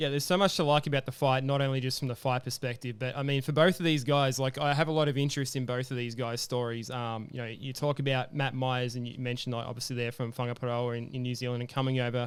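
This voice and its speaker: A man at a very fast pace, medium pitch, fairly even intonation, and hardly any pauses. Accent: Australian. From Australia. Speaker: MMA podcast host. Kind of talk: casual chat. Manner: hesitant, many fillers.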